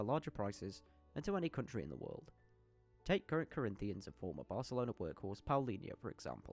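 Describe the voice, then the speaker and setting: With music in the background, someone talks at a very fast pace in a British accent, the pitch swinging very widely. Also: man. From United Kingdom. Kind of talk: football history commentary narration. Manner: humorous, casual.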